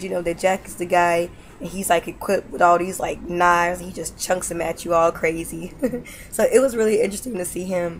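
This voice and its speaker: A woman with fairly level intonation speaks fairly briskly while music plays behind her. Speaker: gaming video creator. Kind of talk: casual talk to camera.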